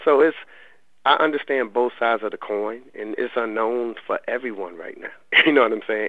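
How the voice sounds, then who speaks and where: A man in a plain, everyday voice, medium in pitch, with an American accent, fairly quick pace and fairly even intonation. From US South, Raleigh, North Carolina. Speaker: college basketball head coach. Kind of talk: radio interview.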